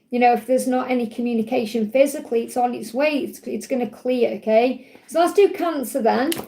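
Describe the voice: A woman's fairly high, dark, mellow voice with vocal fry, ordinary pitch variation, a fairly quick pace and audible room echo.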